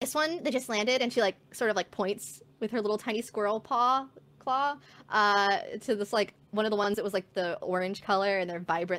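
Speaking at a fairly quick pace, a woman has a medium pitch and a fairly bright tone. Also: fairly even intonation.

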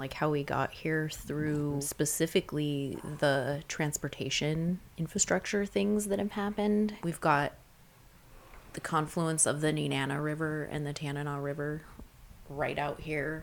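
A woman speaks at a fairly slow pace with a very deep, low pitch. Her pitch varies in an ordinary way. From Fairbanks, Alaska. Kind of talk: interview.

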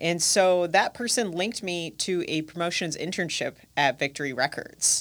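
A woman with an American accent has an unremarkable speaking voice pitched fairly low. Her pace is moderate and her pitch varies in an ordinary way. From US Midwest, Milwaukee. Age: 30s. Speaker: music industry professional and radio host. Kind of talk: interview. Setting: studio.

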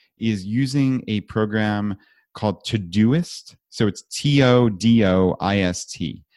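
A man with an American accent speaks with a fairly low pitch and lively intonation. The recording is very clean, the background silent. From New York. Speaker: podcast host and financial independence advocate. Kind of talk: interview. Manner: animated.

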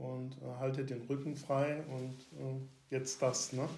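A man speaks fairly slowly in a flat monotone, his voice somewhat breathy against audible room echo. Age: 60s. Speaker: retired police officer. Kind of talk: interview about personal mental health experience. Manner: halting, many fillers.

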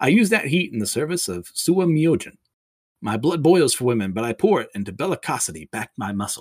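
Vocal fry runs through very fast speech whose pitch swings very widely. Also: man. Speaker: podcast host reviewing manga and anime. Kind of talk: solo casual podcast monologue. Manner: halting, many fillers.

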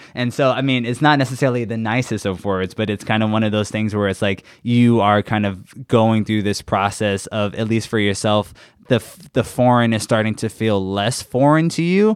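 A normal speaking voice with an American accent moves at a fairly quick pace with hardly any pauses and ordinary pitch variation. The recording is very clean, with a silent background. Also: man, medium pitch for a man. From New York City, Queens. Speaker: study abroad program manager. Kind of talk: casual interview storytelling.

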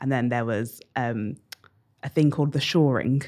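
With a southern English accent, a woman speaks at a moderate pace in a very deep, low pitch with ordinary pitch variation. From England, Bedford. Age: 30s. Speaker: curator and writer. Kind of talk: casual interview.

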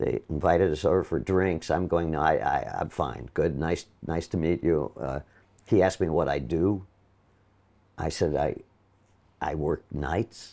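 A man with an American accent speaks at a fairly slow pace in a very deep, low pitch, with a dark, mellow tone and vocal fry. His pitch variation is ordinary, he takes long, frequent pauses, and the background is quiet. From Milwaukee, Wisconsin, US Midwest. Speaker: Broadway actor. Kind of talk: casual interview chat, anecdotal. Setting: interview at his home apartment. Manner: animated, storytelling, self-deprecating humor.

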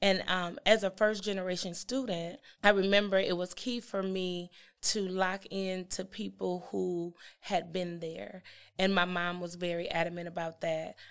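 In an ordinary speaking voice, a woman with an American accent speaks at medium pitch and a moderate pace with fairly even intonation. The recording is very clean, with a silent background. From East St. Louis, Illinois / Milwaukee. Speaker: university student support administrator. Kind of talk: interview, personal storytelling.

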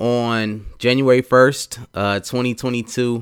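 A man with a Southern US accent talks at medium pitch. The recording is very clean, dry and close, with no echo and a silent background. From US South, Atlanta. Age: 30s. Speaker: podcast host. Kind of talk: personal monologue. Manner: slow.

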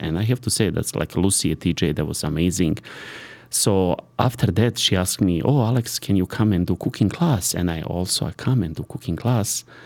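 Lively intonation in a Serbian accent, on a very clean recording with a silent background. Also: man. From Serbia (born in Sarajevo, Bosnia). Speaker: private chef. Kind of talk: casual interview. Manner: halting.

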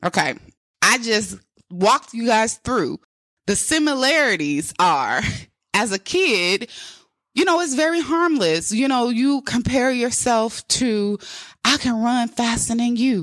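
In a very clean recording with a silent background, a woman with a high voice speaks in an animated tone at a fairly slow pace, her pitch swinging very widely and her loudness very even, with long, frequent pauses. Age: 30s. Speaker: podcast host. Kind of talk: motivational monologue.

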